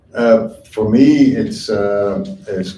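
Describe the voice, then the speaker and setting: A man speaks very slowly at a fairly low pitch, with ordinary pitch variation. The room echo is audible. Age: 50s. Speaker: shoemaker and teacher. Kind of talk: panel talk. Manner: hesitant, many fillers.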